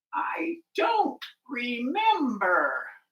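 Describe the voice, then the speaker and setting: A high, put-on character voice swings very widely in pitch. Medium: read story.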